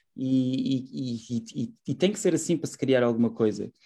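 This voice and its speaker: This man's voice has a dark, mellow tone and a fairly high pitch, delivered with lively intonation. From Portugal, Setúbal. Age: 30s. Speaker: urban gardening project founder. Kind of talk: radio interview. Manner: halting, many fillers.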